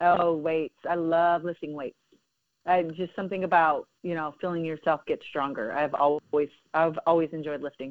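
A woman with an unremarkable speaking voice keeps her intonation fairly even. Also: fairly low pitch for a woman, moderate pace. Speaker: softball coach and former Olympian. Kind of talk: casual interview.

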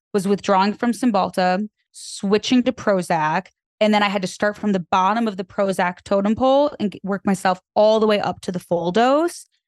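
In an ordinary speaking voice of medium pitch, a woman talks at a moderate pace with ordinary pitch variation, the sound dry and close with no echo. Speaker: content creator and podcast host. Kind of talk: casual chat.

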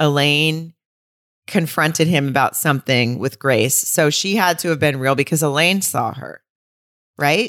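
In a very clean recording with a silent background and a dry, close sound with no echo, a woman with a very deep, low pitch talks at a fairly slow pace with ordinary pitch variation. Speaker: podcast co-host. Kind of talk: casual chat about a film.

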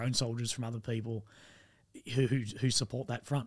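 A man with an Australian accent talks at a medium pitch, monotone and flat. His voice is somewhat breathy. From Australia, rural Victoria. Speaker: army veteran. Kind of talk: casual chat.

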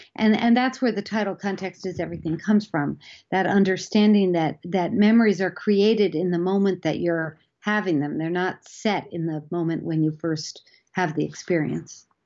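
In an ordinary speaking voice, the words come at a moderate pace with ordinary pitch variation. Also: woman, medium pitch for a woman. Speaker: psychology professor. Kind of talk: interview.

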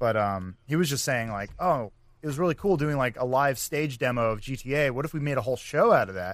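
A man with a plain, everyday voice speaks fairly quickly at medium pitch with lively intonation on a very clean recording with a silent background. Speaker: comedy video creator and guest. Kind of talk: casual comedic chat. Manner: joking, laid-back.

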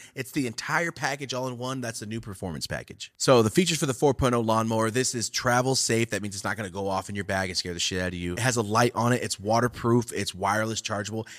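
A man mumbles at a very fast pace with hardly any pauses, his medium pitch moving with ordinary variation. The recording is very clean with a silent background. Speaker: podcast host and cannabis content creator. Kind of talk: casual chat. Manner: mumbles, words run together.

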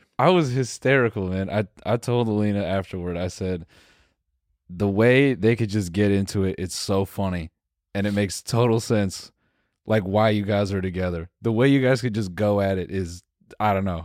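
A man with an unremarkable speaking voice talks at a fairly low pitch and moderate pace, with ordinary pitch variation. The recording is very clean with a silent background, the sound dry and close with no echo. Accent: American. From US Midwest, Missouri. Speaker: podcast co-host. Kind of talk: casual chat.

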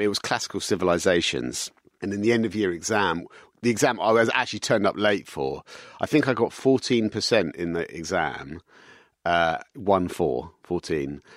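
In a very clean recording with a silent background, the speaker uses a London accent, lively intonation and vocal fry at a moderate pace. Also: man, fairly low pitch for a man. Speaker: business executive. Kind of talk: interview.

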